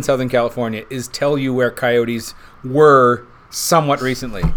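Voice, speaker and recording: A man with a plain, everyday voice speaks at a moderate pace and medium pitch. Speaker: whiskey podcast host. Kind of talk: casual chat.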